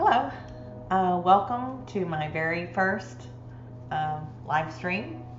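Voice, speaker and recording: A woman with very deep, low pitch and lively intonation, a very slow pace and long, frequent pauses, over music in the background. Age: 60s. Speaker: gamer, live streamer. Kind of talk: casual gameplay commentary to viewers.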